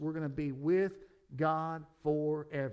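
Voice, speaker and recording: A man speaks with a fairly high pitch. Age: 40s. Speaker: pastor. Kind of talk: sermon.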